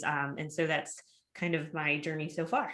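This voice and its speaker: Bright and sharp in tone, a woman speaks with a Minnesotan accent at a moderate pace. The recording is very clean, with a silent background. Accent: Minnesota. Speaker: engineering professor. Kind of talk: panel discussion.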